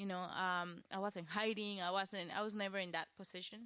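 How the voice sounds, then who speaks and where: A woman speaks with a strong Costa Rican accent at a moderate pace. Her medium-pitched voice has a bright, sharp tone and fairly even intonation. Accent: thick Costa Rican Spanish. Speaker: web designer and social media coach. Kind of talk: podcast interview.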